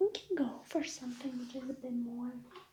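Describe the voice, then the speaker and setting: A soft-spoken woman talks with a non-native accent. Her voice is high in pitch. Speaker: ASMR creator playing a tailor. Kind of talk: tailor roleplay addressing a customer.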